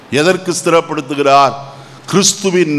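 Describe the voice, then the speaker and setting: A man talks over noticeable background noise. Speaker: pastor. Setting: church.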